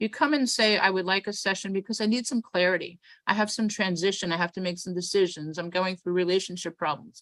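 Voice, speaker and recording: In a New York accent, a woman talks very fast with hardly any pauses, her medium-pitched voice showing ordinary pitch variation, recorded dry and close with no echo against a quiet background. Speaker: event host and organizer. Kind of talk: event welcome and instructions. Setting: video call.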